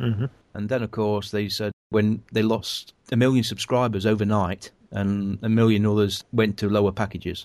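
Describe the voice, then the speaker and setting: This is a man with an ordinary speaking voice. He talks at a moderate pace with a fairly low pitch. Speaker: podcast host. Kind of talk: casual chat.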